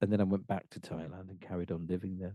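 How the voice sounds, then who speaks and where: Dry and close with no echo, a man's very deep, low voice carries a dark, mellow tone. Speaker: singer-songwriter and composer. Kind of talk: interview. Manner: halting.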